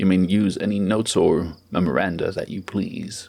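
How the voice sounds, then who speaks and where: A man's put-on character voice, fairly low in pitch, at a moderate pace. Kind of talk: formal courtroom questioning. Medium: read story. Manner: stern, dry, unhurried.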